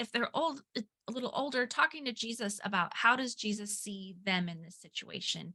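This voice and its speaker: Her tone bright and sharp, a woman speaks at a fairly high pitch with ordinary pitch variation. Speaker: parenting ministry co-founder. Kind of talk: webinar discussion. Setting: video webinar. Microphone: moves away from mic, cutting out.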